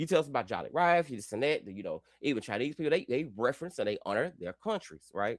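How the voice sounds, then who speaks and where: A man speaks at a moderate pace in an animated tone, his pitch swinging very widely. The sound is dry and close with no echo, on a very clean recording with a silent background. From US South. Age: 30s. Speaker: YouTuber. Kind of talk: live stream monologue. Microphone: new computer.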